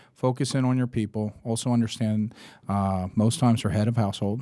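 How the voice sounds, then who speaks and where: The man talks at a very fast pace in a dark, mellow tone, with a medium pitch and ordinary pitch variation. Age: 50s. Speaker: entrepreneur. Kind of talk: interview. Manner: casual.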